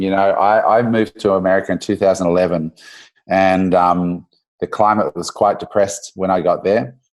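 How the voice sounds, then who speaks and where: A man with an Australian accent at a moderate pace, against a quiet background. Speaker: entrepreneur. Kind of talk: podcast interview.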